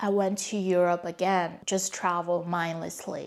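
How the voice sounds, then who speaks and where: A woman with a Mandarin accent speaks with fairly even intonation. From China. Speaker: vlogger. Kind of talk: personal storytelling.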